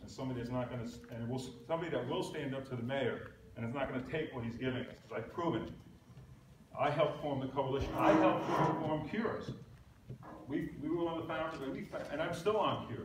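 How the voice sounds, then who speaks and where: Amid audible room echo and noticeable background noise, a man with an American accent talks very fast at a fairly high pitch, with ordinary pitch variation and long, frequent pauses. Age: 60s. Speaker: political candidate. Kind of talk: campaign speech. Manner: halting.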